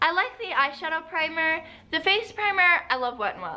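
Her voice raised and projected, a woman talks at a moderate pace. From United States. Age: young. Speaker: beauty vlogger. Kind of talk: casual talk to camera. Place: home room. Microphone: phone near.

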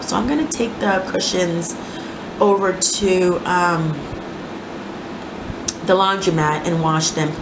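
Slow speech with fairly even intonation and long, frequent pauses comes through audible room echo and clear background noise. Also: woman, fairly low pitch for a woman.

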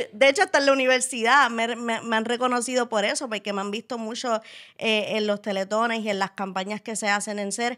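A bright, sharp tone at a fairly quick pace, fairly even intonation, and a quiet background. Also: woman, fairly high pitch for a woman. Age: 20s. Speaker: wheelchair user and interviewer; podcast guest. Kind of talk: casual interview. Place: studio. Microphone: studio mic.

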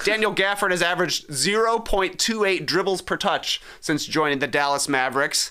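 A man's high-pitched, bright, sharp voice with ordinary pitch variation, very even loudness and hardly any pauses, against a quiet background. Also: moderate pace. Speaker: sports podcast co-host. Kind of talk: casual chat. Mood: relaxed, conversational. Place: studio. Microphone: studio mic.

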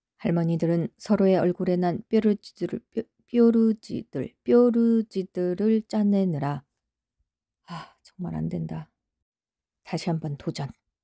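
A woman's medium-pitched voice, dark and mellow in tone, at a very slow pace with long, frequent pauses, ordinary pitch variation, big swings in loudness, and a dry, close sound with no echo. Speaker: novel reader. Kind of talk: novel reading blooper.

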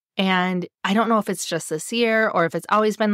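With a plain, everyday voice, a woman speaks at a moderate pace and medium pitch, showing ordinary pitch variation in a dry, close sound with no echo. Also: very clean recording, silent background. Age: 40s. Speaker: podcast host and life coach. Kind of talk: solo podcast monologue; guided journaling reflection.

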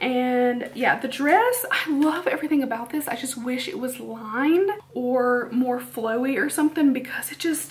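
This woman talks at a fairly slow pace, her pitch high. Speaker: beauty vlogger. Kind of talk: casual vlog chat. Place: home room. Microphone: camera far.

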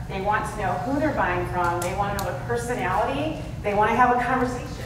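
Against noticeable background noise and audible room echo, a woman speaks at a fairly quick pace. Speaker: conference speaker. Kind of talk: talk to an audience. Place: hall.

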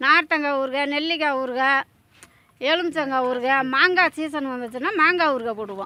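A woman's raised, projected voice has a bright, sharp tone, a high pitch and ordinary pitch variation. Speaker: food stall owner. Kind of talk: interview, casual.

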